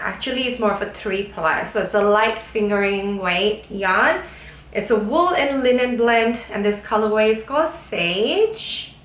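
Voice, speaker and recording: Over noticeable background noise and audible room echo, a woman speaks at a fairly slow pace with fairly high pitch. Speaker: knitting YouTuber. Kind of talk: casual monologue, craft review.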